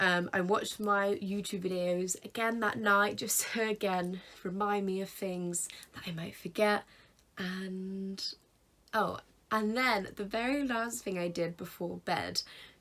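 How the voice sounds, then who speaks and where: A woman with a British accent speaks at a medium pitch with a bright, sharp tone. Her pace is fairly slow and her intonation fairly even. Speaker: YouTuber. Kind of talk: casual vlog tutorial.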